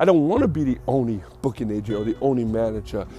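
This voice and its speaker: Speech comes at a very fast pace with a dark, mellow tone and lively intonation. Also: man. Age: 50s. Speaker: podcast host. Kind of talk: solo monologue. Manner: casual, halting with fillers.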